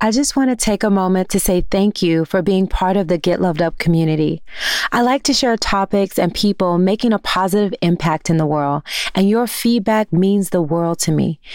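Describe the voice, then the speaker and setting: With a plain, everyday voice, a woman speaks at medium pitch and a moderate pace. Her pitch variation is ordinary and her loudness stays very even. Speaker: podcast host. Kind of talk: scripted intro and ad read.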